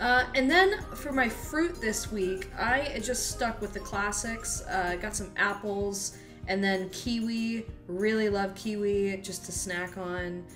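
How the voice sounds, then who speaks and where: Clear music plays in the background. A woman talks at a very slow pace with ordinary pitch variation. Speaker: home vlogger. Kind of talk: casual grocery haul chat. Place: kitchen. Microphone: phone near.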